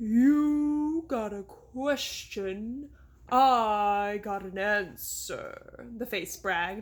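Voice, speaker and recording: A croaky, put-on character voice, fairly high in pitch, dramatic in tone, at a very slow pace. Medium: read story. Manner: dramatic, boastful.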